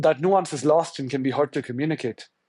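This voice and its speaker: A man with a Tamil accent speaks in a fairly high pitch with fairly even intonation. The background is quiet, and the sound is dry and close with no echo. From India, Tamil. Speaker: journalist. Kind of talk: interview. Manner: halting.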